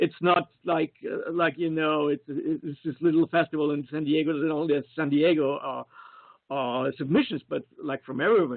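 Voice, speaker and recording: The speech moves at a moderate pace. It carries a slight Austrian accent. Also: man. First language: German. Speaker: screenwriter and film producer. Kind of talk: casual interview. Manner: halting, many repetitions and fillers; enthusiastic.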